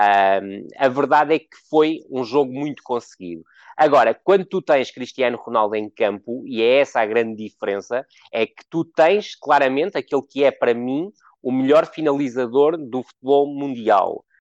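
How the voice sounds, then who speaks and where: Over a quiet background, a man with a medium pitch speaks at a moderate pace in a normal speaking voice. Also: ordinary pitch variation. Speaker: football analyst. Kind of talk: casual chat.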